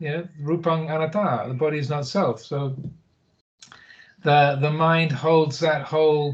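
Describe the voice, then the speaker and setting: A somewhat breathy voice speaks at a fairly slow pace with fairly even intonation, broken by long, frequent pauses. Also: man, fairly high pitch for a man. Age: 60s. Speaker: Buddhist monk. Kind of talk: interview. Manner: hesitant, many fillers.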